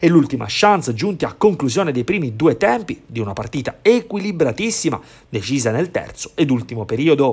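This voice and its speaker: A man speaks at a fairly quick pace in a dramatic, animated tone, his fairly high pitch making very wide swings. His voice is somewhat breathy. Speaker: sports commentator. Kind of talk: sports highlights commentary, voiced over match footage. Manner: fast, animated play-by-play, rising on goals and near-misses; polished, dramatic narration with vivid verbs.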